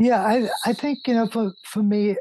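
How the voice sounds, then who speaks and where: Recorded dry and close with no echo over a quiet background, a man speaks at a moderate pace in a dark, mellow tone. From South Africa. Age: 60s. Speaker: painter and architect. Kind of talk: interview.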